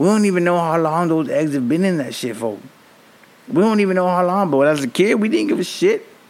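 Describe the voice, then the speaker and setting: Speaking at a fairly quick pace with an American accent, the voice has an animated tone and lively intonation, with audible room echo. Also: man, high pitch for a man. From Miami, Florida (Allapattah). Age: 30s. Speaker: podcast host. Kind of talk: casual monologue.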